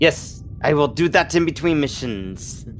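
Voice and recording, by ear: A man's put-on character voice at a fairly high pitch, with clear background noise. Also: moderate pace.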